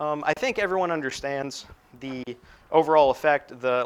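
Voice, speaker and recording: A man with a plain, everyday voice talks at a fairly quick pace with fairly even intonation. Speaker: university lecturer. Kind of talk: lecture. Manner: casual, filler-heavy.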